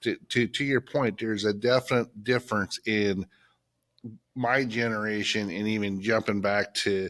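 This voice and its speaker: In an unremarkable speaking voice, a man talks at a moderate pace and fairly low pitch with fairly even intonation, recorded very cleanly against a silent background, with dry, close sound and no echo. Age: 50s. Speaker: plumbing and HVAC business owner. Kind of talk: casual chat. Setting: studio.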